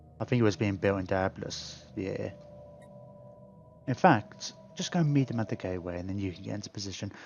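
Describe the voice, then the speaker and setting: A man with a British accent talks at a fairly quick pace and fairly low pitch, with ordinary pitch variation. His loudness swings widely, and he takes long, frequent pauses. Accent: British; viewer thought it sounded Australian. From UK. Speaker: gaming streamer. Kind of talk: casual live-stream chat while gaming. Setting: live stream.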